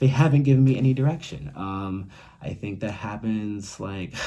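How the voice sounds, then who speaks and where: A soft-spoken man speaks with fairly low pitch and lively intonation. Audible room echo surrounds him. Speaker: YouTuber talking about mental health. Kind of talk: casual vlog monologue. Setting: at home, roommate nearby. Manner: quiet, talking softly; fast.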